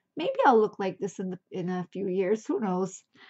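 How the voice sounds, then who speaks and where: A woman speaks at a moderate speed, and the background stays quiet. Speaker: thrift reseller. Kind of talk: casual haul vlog chat. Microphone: phone near.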